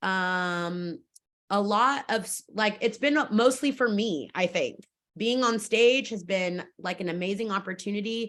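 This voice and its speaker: With an American accent, a woman of medium pitch speaks at a fairly slow pace with ordinary pitch variation. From Fresno, California. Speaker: stage actor and theater staff member. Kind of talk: interview. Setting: video call. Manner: loud.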